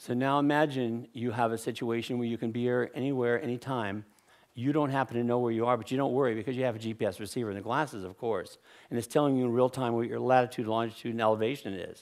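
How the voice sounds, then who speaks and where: With fairly even intonation, the man talks at a very fast pace. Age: 60s. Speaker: inventor. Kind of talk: conference talk.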